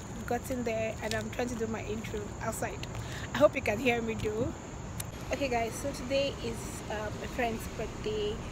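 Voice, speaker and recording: Someone speaks at a moderate pace in a dry sound with no echo, with noticeable background noise behind them. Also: woman. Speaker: vlogger. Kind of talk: casual vlog chat. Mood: cheerful, excited. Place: street. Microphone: phone near.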